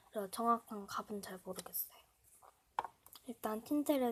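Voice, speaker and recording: The speaker moves at a moderate pace with ordinary pitch variation. Noticeable background noise sits underneath. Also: woman. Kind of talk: casual product review to camera.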